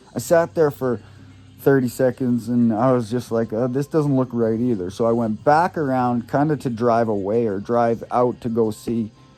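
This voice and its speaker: Over music in the background, a man with a medium-pitched voice speaks at a moderate pace with fairly even intonation. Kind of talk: casual talk to camera. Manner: rambling, halting.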